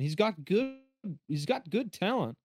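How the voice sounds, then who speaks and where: The sound is dry and close, with no echo, as a man speaks. Music plays in the background. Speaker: podcast co-host and football fan. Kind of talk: casual football chat.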